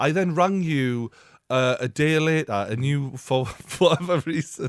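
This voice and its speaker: With a Geordie accent, a man talks with ordinary pitch variation in a dry, close sound with no echo. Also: fairly high pitch for a man, fairly slow pace. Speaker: podcast host. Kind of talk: casual podcast conversation.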